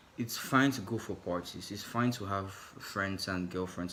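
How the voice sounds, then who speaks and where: A man's fairly low voice with a non-native accent and fairly even intonation. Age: 20s. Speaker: vlogger. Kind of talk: personal vlog monologue. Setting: in his room. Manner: halting.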